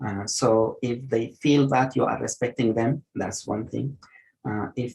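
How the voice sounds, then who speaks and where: A man with a non-native accent and a dark, mellow tone speaks at a moderate pace, showing vocal fry and ordinary pitch variation. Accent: noticeable non-native. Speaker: geriatric medicine physician. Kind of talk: online lecture and Q&A. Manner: hesitant, many fillers.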